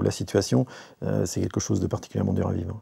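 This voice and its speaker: Here a man has a dark, mellow tone. The recording is very clean, with a silent background. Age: 40s. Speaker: patient giving testimony. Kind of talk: testimony. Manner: halting, many hesitations.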